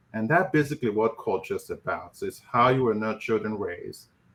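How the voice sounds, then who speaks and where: Fairly quick speech from a man, very clean recording, silent background. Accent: Nigerian. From Nigeria. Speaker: physician and professor of family medicine. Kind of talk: panel discussion.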